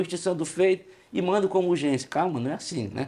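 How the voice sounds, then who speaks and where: Talking at a fairly quick pace, a man has a high pitch. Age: 60s. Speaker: union leader. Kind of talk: podcast interview. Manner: hesitant, with frequent fillers.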